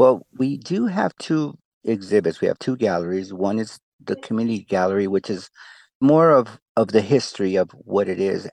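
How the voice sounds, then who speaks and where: A man's fairly low voice with lively intonation, moderately paced, dry and close with no echo, over a quiet background. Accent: Spanish. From Tijuana, Mexico. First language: Spanish. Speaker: exhibit creator, breakdancer and hip-hop artist. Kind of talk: interview answers.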